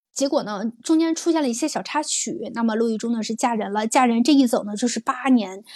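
A woman speaks in a high pitch at a fairly quick pace. Her pitch varies in an ordinary way. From northern China. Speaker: livestream show host. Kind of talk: casual chat. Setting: livestream.

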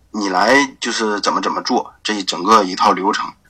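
A bright, sharp tone in a northeastern Chinese accent, at a moderate pace with fairly even intonation. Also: man. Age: 20s. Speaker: e-commerce graphic designer. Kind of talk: interview. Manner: halting, many fillers.

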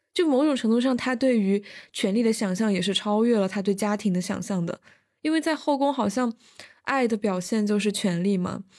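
On a very clean recording with a silent background, a woman with a plain, everyday voice speaks at a fairly quick pace and fairly high pitch, with ordinary pitch variation and very even loudness. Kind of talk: casual chat. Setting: university dorm during campus lockdown.

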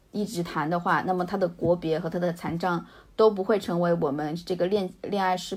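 A woman talks at a fairly quick pace, fairly low in pitch with fairly even intonation, in an unremarkable speaking voice. The recording is very clean, with a silent background. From rural China, Hunan-Jiangxi border. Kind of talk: casual interview.

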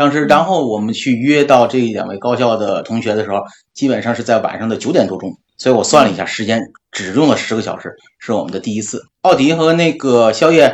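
Speaking at a very fast pace, a man keeps his intonation lively. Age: 40s. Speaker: podcast co-host. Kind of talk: casual chat.

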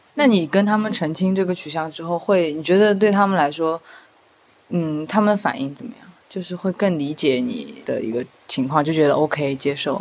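A woman's fairly low-pitched voice with lively intonation and big swings in loudness, over noticeable background noise. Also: moderate pace. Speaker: co-host, counselor. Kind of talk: casual interview chat.

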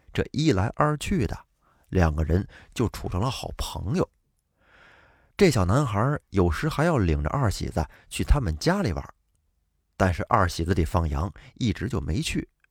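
Recorded dry and close with no echo against a silent background, a man with a fairly low, somewhat breathy voice speaks at a moderate pace, his pitch swinging very widely and his pauses long and frequent. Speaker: storytelling podcast host. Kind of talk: storytelling narration.

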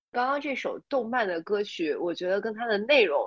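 Pitched fairly high, a woman talks at a fairly quick pace with very wide pitch swings. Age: 30s. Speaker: podcast co-host. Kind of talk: casual chat.

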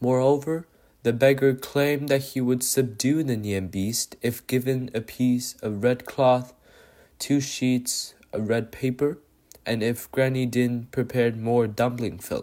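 The speech comes at a fairly slow pace in a very clean recording with a silent background. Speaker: podcast storyteller. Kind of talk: fairy-tale narration. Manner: dramatic storytelling with sound effects; animated, voicing roars and fear.

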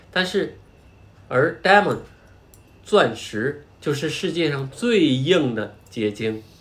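A man's somewhat breathy, fairly high voice with lively intonation. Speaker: podcast host and parent. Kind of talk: casual educational chat.

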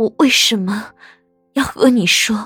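In a put-on character voice at a fairly high pitch, a woman speaks at a fairly slow pace with faint music in the background. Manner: slow, deliberate, word by word, pained.

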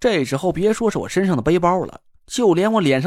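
An unforced reading voice comes through with lively intonation.

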